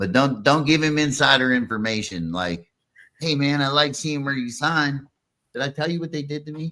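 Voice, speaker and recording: Recorded very cleanly over a silent background, a man with a fairly high voice and a bright, sharp tone speaks at a moderate pace with lively intonation. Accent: strong Pittsburgh. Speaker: podcast host. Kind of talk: casual chat. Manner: animated.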